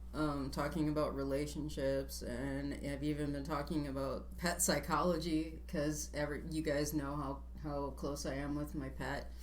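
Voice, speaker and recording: With audible room echo, a woman talks at a moderate pace and hardly any pauses. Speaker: vlogger and would-be presidential candidate. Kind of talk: casual chat.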